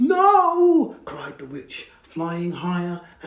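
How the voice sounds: The voice here is a natural reading voice.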